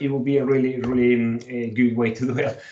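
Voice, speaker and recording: Noticeable background noise sits behind this recording. A man with a Colombian accent talks at a moderate pace. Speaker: whisky educator and tour business owner. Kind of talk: online tasting presentation. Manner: hesitant, many fillers.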